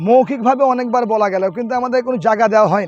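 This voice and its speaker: A man's extremely high-pitched voice with ordinary pitch variation. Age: 40s. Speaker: local party worker. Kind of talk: press interview.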